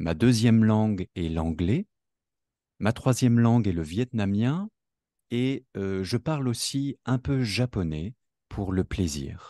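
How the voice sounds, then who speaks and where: Against a quiet background and with a dry, close sound with no echo, a man with a dark, mellow tone and fairly low pitch speaks at a very slow pace with lively intonation and long, frequent pauses. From south-east France (Rhône-Alpes, between Lyon and Grenoble). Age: 30s. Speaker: French teacher, podcast co-host. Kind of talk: scripted learner dialogue. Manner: slow, clear.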